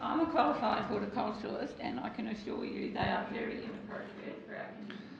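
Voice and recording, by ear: Speaking fast at a medium pitch, a woman shows ordinary pitch variation and vocal fry, with audible room echo.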